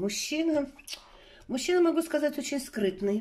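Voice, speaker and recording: A dark, mellow, somewhat breathy voice at a moderate pace. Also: woman. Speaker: tarot reader. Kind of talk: online tarot reading. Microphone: phone near.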